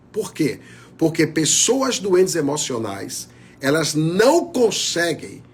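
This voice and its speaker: In a room with audible echo, a man speaks at a very slow pace with lively intonation and a fairly high pitch. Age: 60s. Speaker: pastor. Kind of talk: sermon.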